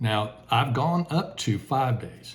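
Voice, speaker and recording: Fairly slow in pace, the delivery carries a somewhat breathy quality. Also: man. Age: 60s. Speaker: retiree health vlogger. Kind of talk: casual vlog talk. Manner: casual with many filler words.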